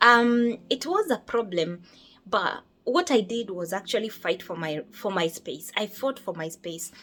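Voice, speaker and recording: A woman's medium-pitched voice with lively intonation at a moderate pace, over noticeable background noise. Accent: Kenyan. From Kenya. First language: Kikuyu. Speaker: nurse. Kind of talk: casual chat.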